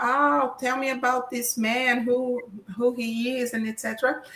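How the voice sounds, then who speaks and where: Speaking fairly slowly at a high pitch, a woman with a Portuguese accent is heard with audible room echo. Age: 50s. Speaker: professor. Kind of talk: lecture.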